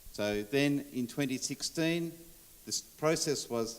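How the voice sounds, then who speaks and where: With an Australian accent, a man speaks fairly slowly using lively intonation. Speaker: sports official. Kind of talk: conference presentation.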